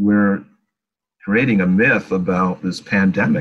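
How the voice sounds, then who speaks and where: Here a man speaks in an American accent. His voice sits at a fairly low pitch. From upstate New York. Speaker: TV screenwriter and producer. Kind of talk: interview. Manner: halting.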